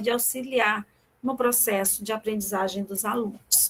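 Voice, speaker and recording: In a normal speaking voice, a woman talks at a moderate pace, fairly high in pitch with fairly even intonation. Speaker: professor. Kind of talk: online lecture.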